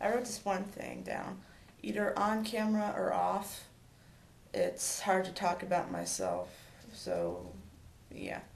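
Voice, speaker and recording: In a room with audible echo, a woman speaks at a very slow pace with long, frequent pauses. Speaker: vlogger. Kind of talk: personal vlog talk. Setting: home, talking to camera alone. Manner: stammering; halting, many fillers.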